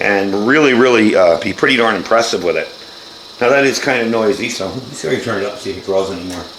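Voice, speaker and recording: A man's medium-pitched voice with ordinary pitch variation, plus audible room echo and noticeable background noise. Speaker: product reviewer. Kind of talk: product demonstration. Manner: casual.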